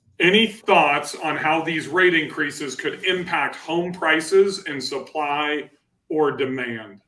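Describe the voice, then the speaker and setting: Audible room echo surrounds a man with a fairly high pitch. He speaks at a very slow pace with ordinary pitch variation. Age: 40s. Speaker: real estate investor and channel host; livestream host. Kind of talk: live-streamed panel discussion. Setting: live stream with online audience. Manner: animated. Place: office. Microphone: webcam.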